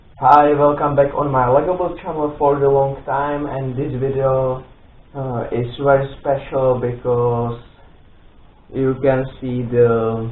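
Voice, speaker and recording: A man speaks at a very slow pace and medium pitch, his intonation monotone and flat. Audible room echo surrounds his voice. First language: not English. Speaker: Lego build video creator. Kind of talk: product presentation intro. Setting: home studio. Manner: halting, many fillers.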